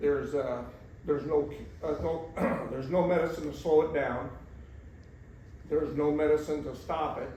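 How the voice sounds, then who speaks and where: A man with an American accent, fairly high pitch and monotone, flat intonation, long, frequent pauses, and noticeable background noise. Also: moderate pace. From rural Missouri, USA. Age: 70s. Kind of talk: interview answer. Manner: halting, many fillers.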